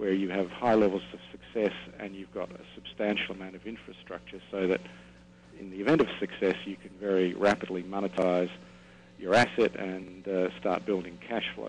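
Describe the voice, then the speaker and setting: Speaking at a moderate pace with an Australian accent, a man with a very deep, low voice shows ordinary pitch variation and big swings in loudness. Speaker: oil company executive. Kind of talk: interview. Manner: halting, many fillers.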